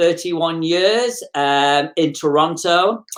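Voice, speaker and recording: In a very clean recording with a silent background, a woman with an English accent speaks at a fairly slow pace and a fairly low pitch. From England, Manchester. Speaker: motivational speaker. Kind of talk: interview, personal story.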